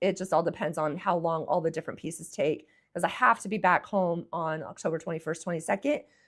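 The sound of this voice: Putting on a character voice, a woman talks at a very fast pace in a hoarse, raspy, fairly low pitch with ordinary pitch variation.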